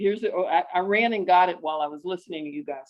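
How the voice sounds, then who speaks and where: Ordinary pitch variation in an unremarkable speaking voice. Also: woman. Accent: American. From United States. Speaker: PhD student, audience member asking a question. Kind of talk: question from the audience at an online panel.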